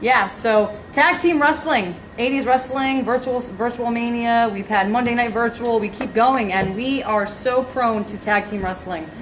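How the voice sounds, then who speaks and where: There is audible room echo and noticeable background noise around a woman's animated, fairly high voice. She talks with ordinary pitch variation and hardly any pauses. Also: fairly slow pace. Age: young. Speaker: show host. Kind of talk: interview. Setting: video call.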